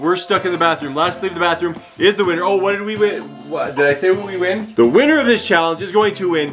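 A man's high voice at a fairly quick pace, with ordinary pitch variation and clear music in the background. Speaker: family vlogger dad. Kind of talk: casual vlog chat. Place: bathroom. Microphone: phone near.

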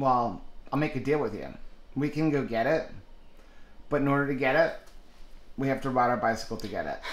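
Amid audible room echo, a man talks at a fairly quick pace with ordinary pitch variation and long, frequent pauses. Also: fairly high pitch for a man. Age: 40s. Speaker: vlogger. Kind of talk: casual vlog chat.

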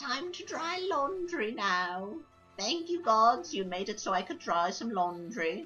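With clear music in the background, a female-sounding, put-on character voice speaks at a fairly slow pace, fairly high in pitch with very wide pitch swings. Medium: game stream. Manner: warm, fussy, delighted.

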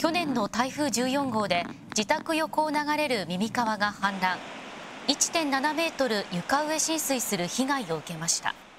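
A woman speaks at a high pitch and a moderate pace with very wide pitch swings. Noticeable background noise runs underneath. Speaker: news narrator. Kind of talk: TV news narration.

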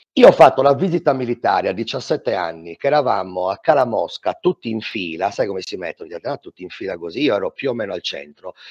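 This man speaks at a fairly quick pace, with a quiet background behind him. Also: big swings in loudness. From Sardinia. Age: 40s. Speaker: fitness instructor. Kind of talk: testimony. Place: home room. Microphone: headset.

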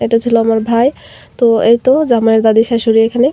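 A woman speaks in a fairly high pitch with a dark, mellow tone and a flat, monotone delivery, recorded dry and close with no echo. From Bangladesh, Gazipur. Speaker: vlogger. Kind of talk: vlog narration.

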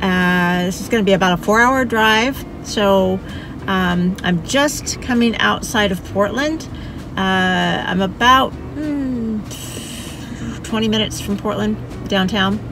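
The speaker goes at a very slow pace with ordinary pitch variation, in a dry sound with no echo and noticeable background noise. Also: woman. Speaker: travel vlogger. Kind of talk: casual vlog chat. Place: car. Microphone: phone near.

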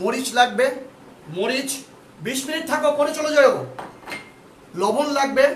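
In a room with audible echo and noticeable background noise, a man speaks at an extremely high pitch with ordinary pitch variation. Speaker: ICT teacher. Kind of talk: online lecture. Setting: home drawing room, live stream. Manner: animated.

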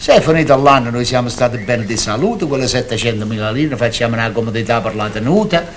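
Here a man talks at a fairly quick pace. There is light background noise. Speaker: actor in a stage-style drama. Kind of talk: scripted dramatic dialogue.

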